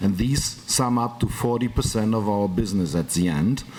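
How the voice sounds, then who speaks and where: In a German accent, a man speaks at a fairly slow pace with lively intonation. Noticeable background noise runs behind him. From Germany. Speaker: business executive. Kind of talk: panel talk. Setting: conference round table.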